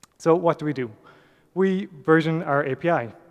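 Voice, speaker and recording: A man with an Irish accent. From Ireland. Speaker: software developer, conference speaker. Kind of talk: conference talk. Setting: stage with audience.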